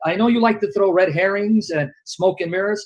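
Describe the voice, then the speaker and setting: Loud and high-pitched, a man speaks at a moderate pace. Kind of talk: heated debate.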